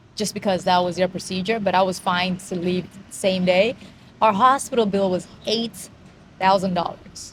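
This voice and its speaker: The speaker has an unremarkable speaking voice and an American accent. The pace is moderate and the intonation fairly even. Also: woman. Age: 40s. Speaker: vlogger. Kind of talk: casual chat.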